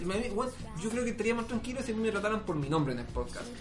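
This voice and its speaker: Talking at a very fast pace in an animated tone, a man with a Chilean accent and a high pitch shows ordinary pitch variation, with audible room echo and music in the background. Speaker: podcast host. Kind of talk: casual chat.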